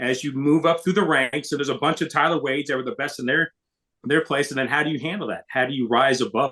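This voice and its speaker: Using an ordinary speaking voice, a man talks with a fairly high pitch and ordinary pitch variation. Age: 60s. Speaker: baseball radio broadcaster. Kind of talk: podcast interview.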